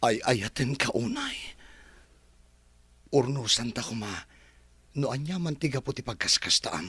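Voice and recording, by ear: Speaking fairly slowly in a put-on character voice, a man uses a medium pitch with big pitch swings, a bright, sharp tone, and a husky, rough edge.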